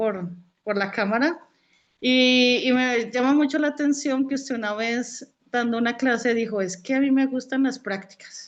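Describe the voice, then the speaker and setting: A woman speaks with a Colombian accent. Her pitch is high. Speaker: student. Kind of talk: casual chat. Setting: video call.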